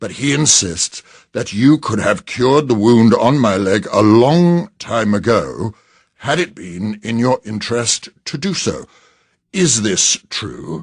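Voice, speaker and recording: A man puts on a growling character voice at a medium pitch. He goes at a fairly slow pace over a quiet background. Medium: read story. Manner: growling, imperious.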